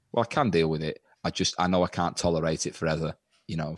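A man with an English accent speaks at a very deep, low pitch with fairly even intonation, recorded very cleanly against a silent background in a dry, close sound with no echo. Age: 20s. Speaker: comedian and teacher. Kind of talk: casual chat.

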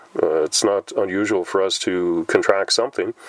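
There is noticeable background noise. A man speaks at a fairly quick pace in a relaxed tone. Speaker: podcast host. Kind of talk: casual monologue. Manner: relaxed, with many filler words.

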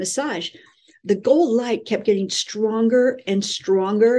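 Her tone dark and mellow, a woman with an American accent talks at a fairly slow pace with lively intonation. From California. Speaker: spiritual teacher, angel channeler. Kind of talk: interview.

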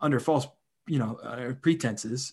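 A man speaks in a normal speaking voice with an American accent. His pitch is medium. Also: quiet background. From western Pennsylvania, Indiana County. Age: 30s. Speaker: podcast host, philosophy PhD candidate. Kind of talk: casual conversation; scripted intro. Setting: video call.

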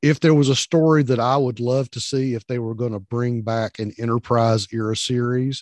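In a Southern US accent, a man is heard in a dry, close sound with no echo. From US South. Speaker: podcast co-host, veteran. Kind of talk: casual chat.

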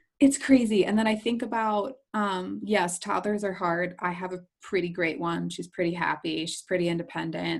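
A woman talks with an American accent in a normal speaking voice at a moderate pace, with hardly any pauses. Her pitch is medium, with ordinary variation. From New Jersey shore. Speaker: photographer and business coach. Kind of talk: casual chat. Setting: video call.

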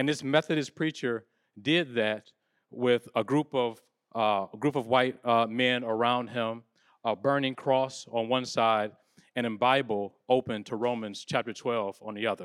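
In a normal speaking voice, the words come at a fairly slow pace with fairly even intonation, recorded dry and close with no echo, very clean and against a silent background. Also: man, medium pitch for a man. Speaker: panel moderator. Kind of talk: panel moderation. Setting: live event with audience. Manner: casual, warm.

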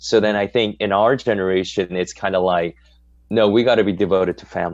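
With an American accent, a man talks in a normal speaking voice, his fairly low pitch showing ordinary variation. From Southern California, Korean American. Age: 40s. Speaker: pastor. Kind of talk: casual chat.

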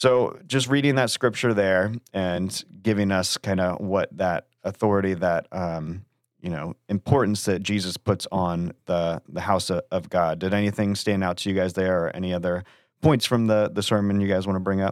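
This man talks at a moderate pace in an American accent, with a fairly low pitch and ordinary pitch variation. He has a normal speaking voice. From Florida (Melbourne area). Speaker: church podcast host. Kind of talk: casual chat.

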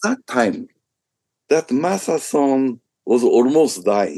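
The sound is dry and close with no echo as a man speaks with a Japanese accent. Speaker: business executive. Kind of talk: interview.

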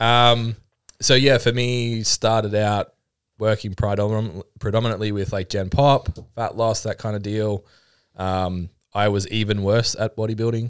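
Here a man with an Australian accent talks at a fairly slow pace, his pitch fairly low and his intonation monotone and flat. The sound is dry and close with no echo, in a very clean recording with a silent background. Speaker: personal trainer and fitness business owner. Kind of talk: casual chat.

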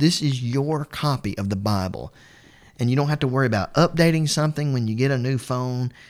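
At a fairly quick pace, a man with an ordinary speaking voice and medium pitch talks with ordinary pitch variation. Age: 30s. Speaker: podcast host and Bible teacher. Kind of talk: religious podcast commentary.

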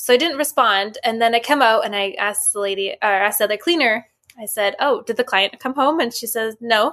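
A woman with a western Canadian accent speaks at a fairly quick pace with hardly any pauses, her fairly high voice bright and sharp in tone, with ordinary pitch variation. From Vancouver, Canada. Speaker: podcast host and spiritual medium. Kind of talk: casual chat.

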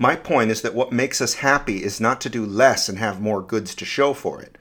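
This is a man in an ordinary speaking voice, fairly low in pitch with ordinary pitch variation. The recording is very clean and the background silent. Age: 40s. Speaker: science essayist. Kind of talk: scripted narration.

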